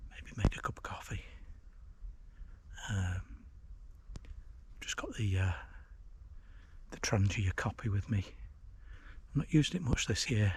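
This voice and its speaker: A quiet man's voice with long, frequent pauses. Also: moderate pace. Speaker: outdoor vlogger. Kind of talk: casual vlog narration. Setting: outdoors. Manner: hesitant, many fillers; quiet, keeping voice down.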